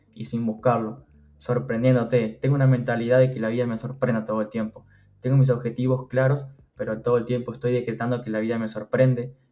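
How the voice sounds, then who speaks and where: With a Uruguayan accent, a man talks at a fairly quick pace in a medium pitch, his dark, mellow tone carried by monotone, flat intonation. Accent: Rioplatense Spanish (Uruguayan). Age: 20s. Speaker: funded trader. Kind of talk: casual interview.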